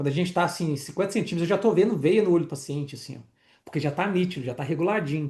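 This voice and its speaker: Against a quiet background, a man with a high pitch and a dark, mellow tone talks very fast with ordinary pitch variation. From Minas Gerais, Brazil (Itabirito). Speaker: optometry teacher. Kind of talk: online lecture. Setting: live online class with chat. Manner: casual, conversational.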